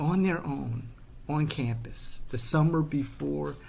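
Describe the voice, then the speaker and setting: A man with a Chicago South Side accent at a very slow pace, with audible room echo. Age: 50s. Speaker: political commentator. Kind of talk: personal storytelling monologue. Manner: animated.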